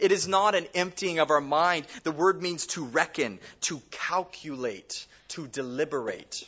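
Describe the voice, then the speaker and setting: Speaking at a very slow pace, a man talks. His pitch is fairly high. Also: ordinary pitch variation. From California, Bakersfield. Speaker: pastor. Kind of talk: sermon.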